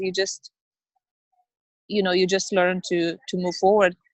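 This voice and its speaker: A woman talks at a medium pitch with a non-native accent. The sound is dry and close, with no echo. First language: not English. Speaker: network marketing business owner. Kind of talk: interview. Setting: video call, outdoors in the rain. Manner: halting.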